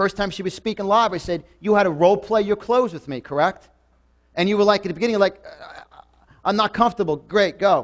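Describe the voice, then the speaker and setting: A man's high-pitched, animated voice with a New York accent, at a fairly quick pace, with ordinary pitch variation and big swings in loudness. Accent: New York, others struggle to understand him. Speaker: motivational speaker. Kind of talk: motivational seminar talk. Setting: stage with live audience. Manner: fast.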